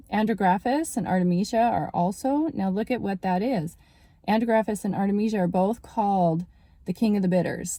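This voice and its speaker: A woman speaks at a moderate pace in a dark, mellow tone. Her voice is somewhat breathy, with ordinary pitch variation. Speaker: naturopathic doctor. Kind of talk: casual health talk video.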